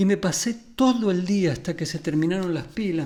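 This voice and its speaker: In a room with audible echo, a man speaks at a high pitch in a dark, mellow tone with ordinary pitch variation. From Argentina, Buenos Aires area (Ramos Mejía). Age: 60s. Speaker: music therapist and musician. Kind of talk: conference talk.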